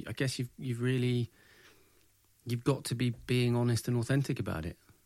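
In a very clean recording with a silent background, a man of medium pitch speaks at a fairly quick pace. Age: 30s. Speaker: podcast host. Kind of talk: casual chat. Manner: halting.

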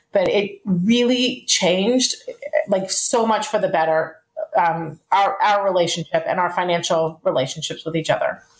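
In a plain, everyday voice, a woman speaks at a medium pitch and moderate pace with ordinary pitch variation and very even loudness. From Texas, Dallas. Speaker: married guest in couples money coaching. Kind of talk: casual chat.

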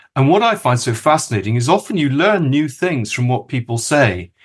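Over a quiet background, a man with a British accent speaks at a fairly quick pace in a somewhat breathy voice. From Kenya. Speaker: podcast co-host. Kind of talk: casual chat and interview.

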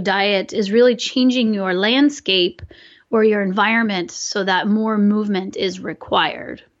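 A woman with a normal speaking voice talks at a fairly slow pace in a fairly high pitch. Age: 40s. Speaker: biomechanist. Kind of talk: interview.

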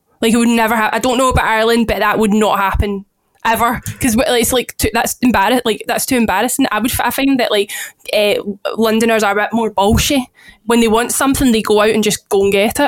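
A woman with a Glaswegian accent speaks very fast at a fairly high pitch. Her loudness is very even and her intonation fairly even. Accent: Glaswegian Scottish. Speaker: podcast co-host. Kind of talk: casual chat. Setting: remote recording.

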